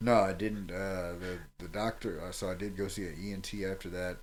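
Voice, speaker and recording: A man speaks at a very deep, low pitch. The recording is very clean, with a silent background. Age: 30s. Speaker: MMA fighter and coach. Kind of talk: casual interview chat.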